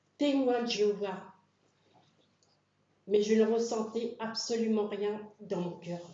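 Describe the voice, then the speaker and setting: A woman with a fairly high voice speaks at a very slow pace, with audible room echo. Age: 60s. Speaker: church member being baptized. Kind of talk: testimony.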